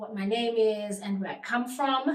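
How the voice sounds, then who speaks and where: A woman's fairly high-pitched voice comes with audible room echo. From South Africa, Eastern Cape. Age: 30s. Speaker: vlogger. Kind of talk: casual vlog introduction.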